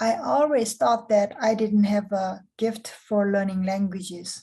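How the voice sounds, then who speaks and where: A very slow, somewhat breathy delivery in a Korean accent, dark and mellow in tone. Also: woman. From South Korea. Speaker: program director. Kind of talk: scripted interview.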